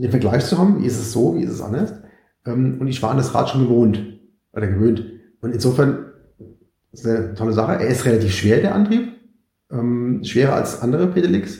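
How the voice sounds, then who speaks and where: A man with a dark, mellow, somewhat breathy voice talks at a medium pitch with lively intonation. He goes at a fairly quick pace with long, frequent pauses, and the room has audible echo. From Mainz, Germany. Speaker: cyclist and e-bike expert. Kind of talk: casual interview.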